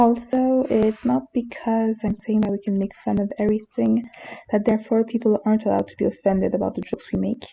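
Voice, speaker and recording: With a strong French accent, a woman speaks at a very fast pace in a fairly high pitch and fairly even intonation. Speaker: manga reviewer youtuber. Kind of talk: casual opinion monologue.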